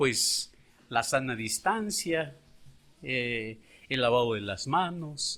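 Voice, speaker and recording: A man talks at a very slow pace. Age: 60s. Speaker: schoolteacher. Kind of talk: interview testimony.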